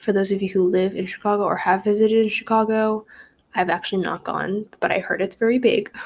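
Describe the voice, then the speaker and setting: A soft-spoken woman talks at a fairly quick pace with a medium pitch and a monotone, flat intonation. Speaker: podcast host. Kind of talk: casual chat. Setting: at home, early morning.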